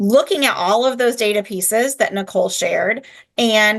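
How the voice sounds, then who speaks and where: A woman's unremarkable speaking voice, fairly high-pitched, lively in intonation, at a moderate pace. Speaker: education company executive. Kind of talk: webinar presentation.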